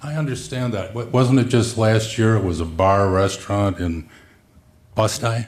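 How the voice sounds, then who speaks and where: The man's voice is fairly low in pitch and somewhat breathy. He speaks at a moderate pace. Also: ordinary pitch variation. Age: 70s. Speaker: county legislator, former attorney. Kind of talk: committee meeting debate.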